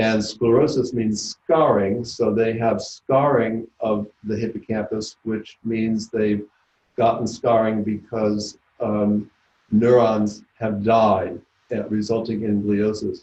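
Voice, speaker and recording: Very slowly and in a monotone, flat delivery, a man speaks at a medium pitch with a dark, mellow tone. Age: 70s. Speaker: neuropathologist, professor. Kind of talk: lecture. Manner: halting, many filler words.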